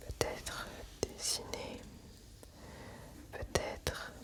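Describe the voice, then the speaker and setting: A woman whispers in a soothing tone at a very slow pace over noticeable background noise. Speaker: ASMR creator. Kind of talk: ASMR relaxation, personal attention. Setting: close to the microphone. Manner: whispered, soothing, slow.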